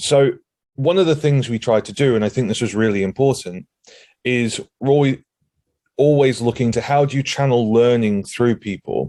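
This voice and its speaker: Here a man talks at a moderate pace in a dark, mellow tone. His pitch is medium with ordinary variation, and the sound is dry and close with no echo. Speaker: cloud security consultant. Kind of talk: conference talk. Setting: remote video call. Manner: upbeat.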